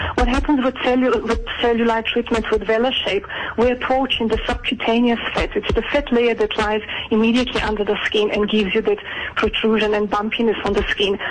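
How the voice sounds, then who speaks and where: Noticeable background noise runs through the clip. The speaker moves at a fairly quick pace. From Georgia. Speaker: aesthetic clinic doctor. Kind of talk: radio interview. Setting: phone call.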